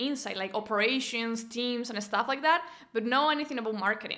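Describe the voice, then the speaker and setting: A woman's high-pitched voice at a fairly quick pace with ordinary pitch variation. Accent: Venezuelan. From Venezuela. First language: Spanish. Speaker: business coach and entrepreneur. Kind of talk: interview. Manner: halting, frequent repetitions.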